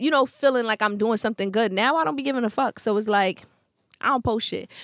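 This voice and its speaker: A woman with a Brooklyn accent speaks fairly quickly at a medium pitch with ordinary pitch variation, on a very clean recording with a silent background and a dry, close sound with no echo. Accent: New York (Brooklyn). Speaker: podcast host. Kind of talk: casual chat. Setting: studio. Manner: aggressive-sounding, forceful.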